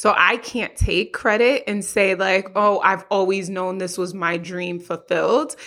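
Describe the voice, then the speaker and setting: With an American accent and fairly even intonation, the speaker barely pauses against noticeable background noise. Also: woman, medium pitch for a woman, fairly slow pace. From Haitian family, US. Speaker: therapist. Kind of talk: interview.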